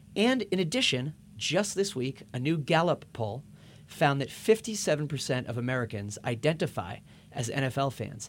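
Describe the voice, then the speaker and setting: Very wide pitch swings and a somewhat breathy quality mark this moderately paced voice, recorded very cleanly against a silent background. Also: man, fairly high pitch for a man. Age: 30s. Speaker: podcast host. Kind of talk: scripted narration; interview.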